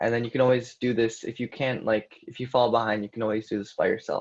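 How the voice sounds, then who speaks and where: A man talks in a somewhat breathy voice against a quiet background. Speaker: coding instructor. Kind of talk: live coding tutorial. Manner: casual with fillers.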